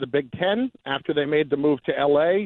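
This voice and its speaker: At a moderate pace, a man with a plain, everyday voice speaks at a fairly high pitch. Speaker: radio co-host guest. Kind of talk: casual sports talk. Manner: conversational, bantering.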